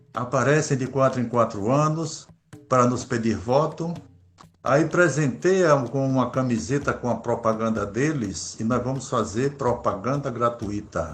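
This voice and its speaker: Over music in the background, a man talks at medium pitch and a fairly slow pace with lively intonation. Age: 60s. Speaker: Afro-Brazilian religious leader. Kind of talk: interview.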